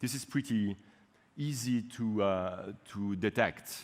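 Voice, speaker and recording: With a French accent, a man speaks at a fairly low pitch and with ordinary pitch variation. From French-speaking Switzerland. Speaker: university researcher; conference presenter. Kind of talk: conference talk. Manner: halting, many fillers. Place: hall.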